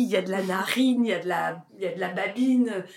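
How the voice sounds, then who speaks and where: A woman talks with ordinary pitch variation. There is audible room echo. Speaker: actress and singer. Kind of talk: interview. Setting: garden at her home. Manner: loud.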